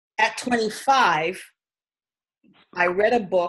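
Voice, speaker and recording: At a fairly slow pace, a woman with an American accent talks in a plain, everyday voice, with a fairly high pitch and ordinary pitch variation. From New York City (Queens, Harlem). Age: 60s. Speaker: spiritual healer. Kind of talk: personal testimony. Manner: casual, conversational.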